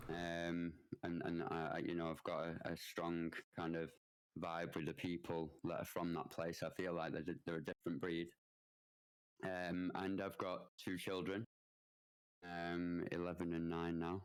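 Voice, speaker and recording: A man with a Mancunian accent speaks in a very deep, low pitch and a monotone, flat intonation, his loudness very even, with long, frequent pauses. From northern England, Manchester. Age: 30s. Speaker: Twitch streamer. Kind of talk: podcast interview. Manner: halting, many fillers and restarts.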